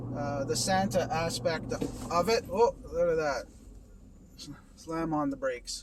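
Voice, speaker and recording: Over noticeable background noise, a man with a Canadian accent talks fairly slowly in a fairly high voice with ordinary pitch variation and long, frequent pauses. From Canada. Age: 50s. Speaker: vlogger in recovery from alcohol. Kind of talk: casual vlog monologue. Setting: in a car while driving. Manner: halting, with fillers and restarts.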